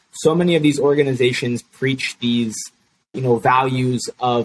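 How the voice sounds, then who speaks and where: A man with an American accent has an ordinary speaking voice at medium pitch. He talks at a moderate pace with fairly even intonation, in a dry, close sound with no echo. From Chicago. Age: 20s. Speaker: youth activist, nonprofit founder. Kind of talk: interview.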